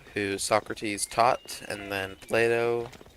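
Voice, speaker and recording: A man speaks very slowly with a fairly low pitch and fairly even intonation over noticeable background noise. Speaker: gaming streamer. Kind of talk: gameplay commentary.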